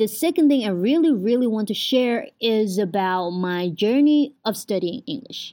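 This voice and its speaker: A woman with a Vietnamese accent, a fairly high pitch and a dark, mellow tone, using lively intonation with hardly any pauses. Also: moderate pace. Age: 20s. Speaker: podcaster, university student. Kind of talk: casual monologue. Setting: at home.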